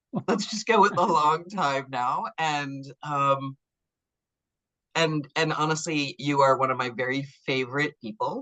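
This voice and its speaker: Very deep and low for a woman, her voice has a bright, sharp tone, an American accent, ordinary pitch variation and a fairly slow pace. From New York. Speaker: interviewer, gender writer. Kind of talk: interview. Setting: video call. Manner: interruptive, enthusiastic.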